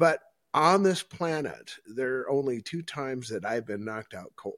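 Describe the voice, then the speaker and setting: In an Upper Midwest accent, the speaker goes at a moderate pace on a very clean recording with a silent background. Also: man. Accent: Upper Midwest American. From northeast South Dakota. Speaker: podcast host. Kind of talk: casual interview. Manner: animated.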